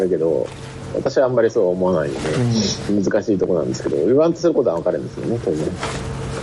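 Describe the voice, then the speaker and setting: A man's very fast speech over noticeable background noise. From Hokkaido, Japan. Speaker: reading group participant. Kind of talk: casual discussion.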